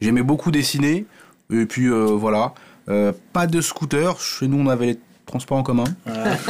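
The speech moves at a fairly slow pace with long, frequent pauses, ordinary pitch variation and very even loudness. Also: man, medium pitch for a man. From France, Paris. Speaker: comedy writer. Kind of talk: casual chat.

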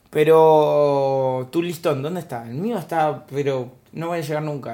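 A man's fairly high voice comes with audible room echo. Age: 30s. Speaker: stand-up comedian. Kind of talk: casual chat.

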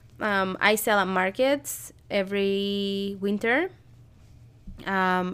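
A woman at medium pitch with a Spanish accent and ordinary pitch variation, in a very clean recording with a silent background. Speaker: podcast co-host and crochet and knitting designer. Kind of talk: casual chat.

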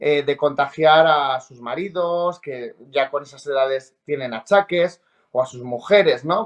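A normal speaking voice from a man, fairly slow in pace with lively intonation, against a quiet background. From Spain, La Rioja. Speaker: TV reporter and presenter. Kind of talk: casual interview chat.

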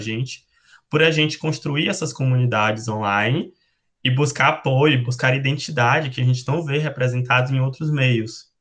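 Keeping his intonation fairly even, a man talks at medium pitch and a moderate pace in an unremarkable speaking voice. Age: 20s. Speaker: nurse and researcher. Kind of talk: panel discussion.

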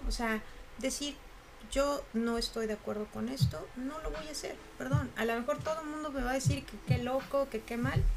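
Against noticeable background noise, a woman with a Mexican accent speaks at a high pitch with lively intonation. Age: 40s. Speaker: university professor and coach. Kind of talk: casual interview chat.

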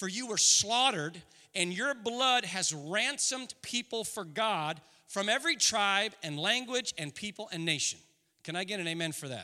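A man speaks in a raised, projected voice at a high pitch, with lively intonation. His tone is bright and sharp. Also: moderate pace. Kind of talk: sermon. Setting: church. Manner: animated, earnest preacher, rhetorical questions building to an emotional pitch; warm and conversational, joking, shifting into fervent prayer.

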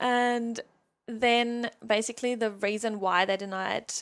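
A woman with a German accent talks fairly slowly in an animated tone at a fairly high pitch, in a very clean recording with a silent background. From Germany. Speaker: mindset coach. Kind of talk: casual interview. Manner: animated, laughs often.

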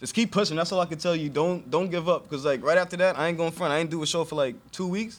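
A man speaks with an American accent. His pitch is fairly high, with ordinary variation. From Long Island, New York (Elmont), Haitian family. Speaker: comedian and rapper. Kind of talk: casual interview.

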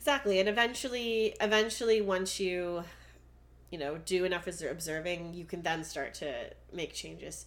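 A woman with a Canadian accent speaks at a moderate pace in a fairly low pitch. Her loudness swings widely, and audible room echo fills the recording. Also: ordinary pitch variation. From Canada. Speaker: podcast co-host. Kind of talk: casual chat.

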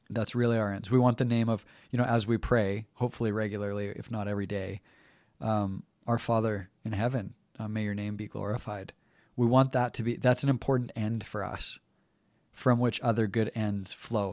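Fairly low-pitched male speech in a Canadian accent, monotone and flat, on a very clean recording with a silent background. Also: moderate pace. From Canadian prairies, rural. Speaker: podcast co-host. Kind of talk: casual discussion.

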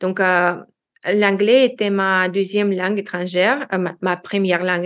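A woman with a non-native accent, medium pitch, fairly even intonation and a fairly slow pace with hardly any pauses. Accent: foreign accent in French. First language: Russian (speaking French). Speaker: language learner, expatriate. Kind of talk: interview. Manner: halting.

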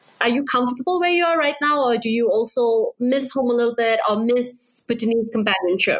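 A woman with a high voice speaks at a fairly quick pace with hardly any pauses, very even loudness and ordinary pitch variation over noticeable background noise. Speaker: podcast host. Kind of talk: casual interview. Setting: online call.

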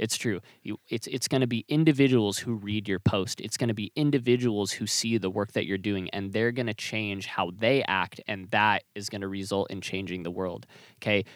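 In an ordinary speaking voice, a man talks at a moderate pace with a fairly low pitch and ordinary pitch variation, the sound dry and close with no echo. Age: 20s. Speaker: podcast host and music artist manager. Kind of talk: casual chat. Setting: inside an RV.

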